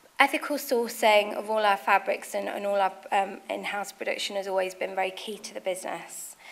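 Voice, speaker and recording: A woman at a moderate pace, medium in pitch, with fairly even intonation. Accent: Nottingham. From England, Nottingham. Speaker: fashion designer and business founder. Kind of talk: speech at business event. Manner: hesitant, many fillers.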